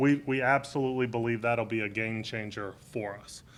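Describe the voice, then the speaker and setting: This man sounds loud, with a bright, sharp tone. His intonation stays fairly even. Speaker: deputy police chief. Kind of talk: press conference. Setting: press briefing with media.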